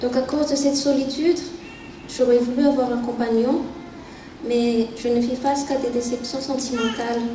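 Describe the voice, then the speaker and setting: In a room with audible echo, a woman speaks at a high pitch with monotone, flat intonation and long, frequent pauses. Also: moderate pace. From Madagascar. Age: 30s. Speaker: church member giving testimony. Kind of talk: testimony. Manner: hesitant, with frequent fillers.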